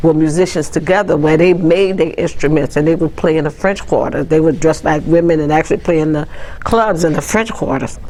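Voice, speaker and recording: A woman's very deep, low voice with a New Orleans accent, audible room echo and noticeable background noise. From New Orleans, Louisiana. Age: 70s. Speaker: city council staffer and cultural tradition bearer. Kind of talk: oral history interview. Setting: city hall office, on camera. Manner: conversational with frequent fillers.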